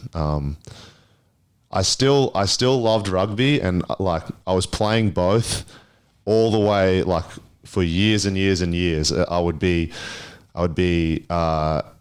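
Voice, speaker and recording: A man speaks at a very deep, low pitch. His pace is very slow, broken by long, frequent pauses. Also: ordinary pitch variation, very even loudness, very clean recording, silent background. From Papua New Guinea. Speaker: basketball player. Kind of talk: interview. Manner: casual with many fillers.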